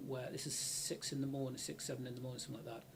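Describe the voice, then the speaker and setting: A man talks at a mid-range pitch while background noise is clearly noticeable. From Bristol, western England. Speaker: university IT director, ex-military. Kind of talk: casual interview chat.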